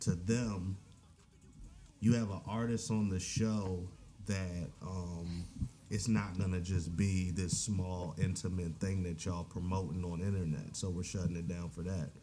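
Over music in the background, a man with an American accent speaks in a very deep, low voice at a fairly slow pace. His pitch variation is ordinary, and audible room echo surrounds his voice. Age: young. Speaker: rapper. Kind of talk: casual interview chat.

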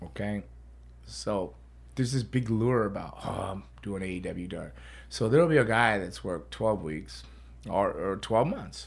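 A man speaks at a moderate pace with a fairly low pitch. His voice has vocal fry and very wide pitch swings. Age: 50s. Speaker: podcast host and pro wrestler. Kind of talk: casual chat. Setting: studio. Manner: animated.

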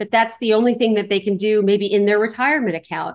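A woman speaks in a Californian accent. Her pitch is fairly high. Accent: General American (Californian). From Los Angeles, California. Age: 40s. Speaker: real estate investor. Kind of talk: interview. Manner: animated.

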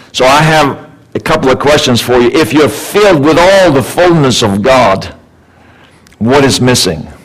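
A man's fairly high voice with lively intonation and very even loudness, amid noticeable background noise and audible room echo. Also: moderate pace. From Sweden. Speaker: guest speaker, life coach. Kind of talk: sermon. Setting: church with congregation. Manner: animated.

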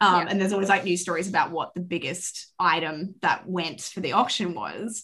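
With an Australian accent, a woman speaks at a medium pitch and a fairly quick pace. She hardly pauses, and her intonation is fairly even. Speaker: podcast guest, fan. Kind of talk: casual chat.

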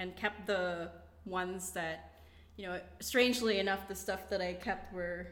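In a Philippine accent, a woman talks at a fairly slow pace and medium pitch. Room echo is audible. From Philippines, Davao (Mindanao). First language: Bisaya. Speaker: immigrant guest. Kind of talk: casual chat.

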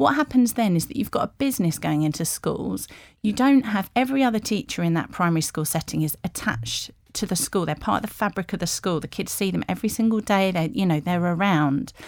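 A woman with an English accent talks at a very fast pace, her medium pitch making very wide swings. The recording is very clean, with a silent background. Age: 40s. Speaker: sports journalist. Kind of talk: interview. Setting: studio.

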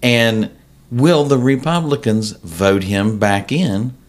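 Heard on a very clean recording with a silent background, a man with an American accent uses an ordinary speaking voice at medium pitch with ordinary pitch variation. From West Virginia, Cabell County. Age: 50s. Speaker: political candidate and realtor. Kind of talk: casual interview.

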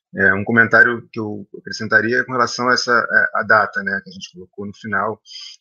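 Pitch variation is ordinary. This man's voice sits at a medium pitch. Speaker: film director. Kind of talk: panel discussion. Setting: video call.

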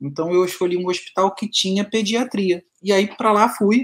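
A man is talking. He keeps to a moderate pace. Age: 40s. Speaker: orthopedic doctor. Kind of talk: casual interview chat.

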